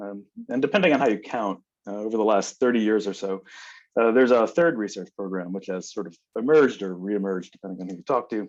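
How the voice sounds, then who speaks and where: The speaker goes very fast over a quiet background, with ordinary pitch variation and big swings in loudness. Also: man, fairly low pitch for a man. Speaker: biology professor. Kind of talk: lecture.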